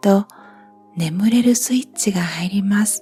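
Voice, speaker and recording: Music plays in the background as a woman speaks, the sound dry and close with no echo. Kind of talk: sleep-inducing guided relaxation reading. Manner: slow, soft-spoken.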